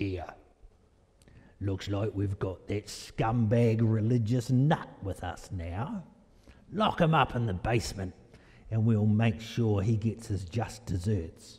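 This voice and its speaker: A man's put-on character voice with a Cockney accent, gruff and medium in pitch, at a fairly slow pace with long, frequent pauses. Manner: mocking, menacing.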